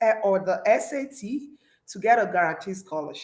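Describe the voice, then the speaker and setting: The voice moves through very wide pitch swings, with audible room echo around it. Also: woman. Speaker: scholarship coach. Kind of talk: livestream talk. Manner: animated.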